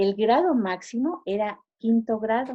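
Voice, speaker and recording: A woman's fairly high-pitched voice. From Mexico, rural Guanajuato. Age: 70s. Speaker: interviewee. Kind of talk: interview. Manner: halting.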